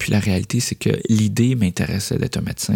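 The voice has a dark, mellow tone and a Quebec accent, moving at a fairly quick pace. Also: man. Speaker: podcast host, creative entrepreneur. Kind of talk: solo podcast monologue. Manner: hesitant with frequent fillers.

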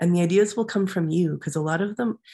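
In a very clean recording with a silent background, a woman speaks at a moderate pace in a somewhat breathy, fairly low voice. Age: 40s. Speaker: life coach and artist. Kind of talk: interview. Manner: halting, many fillers.

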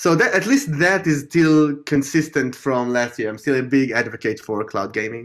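This man has a plain, everyday voice at a fairly high pitch, with ordinary pitch variation, a moderate pace and hardly any pauses. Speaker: podcast host. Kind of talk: casual chat.

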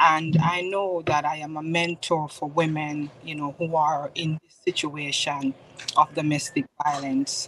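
The speaker has a Jamaican accent and talks at a fairly slow pace with monotone, flat intonation and big swings in loudness. Noticeable background noise runs underneath. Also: woman, very deep, low pitch for a woman. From Jamaica, Spanish Town. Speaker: author and mentor. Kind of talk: testimony.

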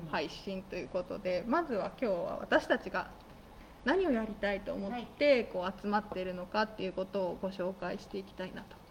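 A woman talks at a moderate pace with medium pitch and ordinary pitch variation. Her loudness swings widely. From Nagano, Japan. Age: 30s. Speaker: radio host. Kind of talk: casual chat. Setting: broadcast from a guesthouse-theatre venue.

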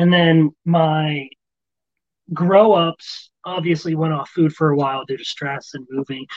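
A man speaks with a fairly high pitch. The sound is dry and close, with no echo. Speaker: rodent breeder and army veteran. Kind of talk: casual chat. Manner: fast and loud when excited; calm here.

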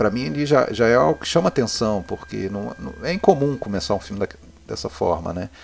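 A man at a fairly low pitch and a fairly quick pace, with very wide pitch swings over music in the background. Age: 40s. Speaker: film podcaster, cinephile. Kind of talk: casual chat.

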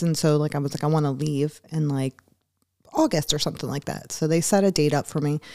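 A woman's very deep, low voice with an American accent, a dark, mellow tone, fairly even intonation, and a fairly quick pace. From Philadelphia. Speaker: firefighter and Marine veteran. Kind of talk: casual interview. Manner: laughs often.

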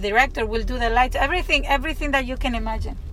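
A woman's fairly high voice in a Spanish accent, with ordinary pitch variation, audible room echo and noticeable background noise. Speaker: actress. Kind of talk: casual vlog monologue. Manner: halting, many fillers and repeats.

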